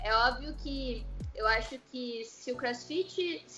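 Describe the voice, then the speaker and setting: Against noticeable background noise, a woman speaks in a high pitch. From Curitiba, southern Brazil. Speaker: parkour coach and physical education teacher. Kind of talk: interview. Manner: casual, laughs often.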